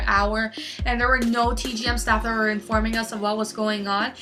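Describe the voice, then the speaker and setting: A fairly high-pitched woman at a fairly quick pace, with audible room echo and noticeable background noise. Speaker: fan vlogger. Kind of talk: personal story vlog. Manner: halting, stuttering.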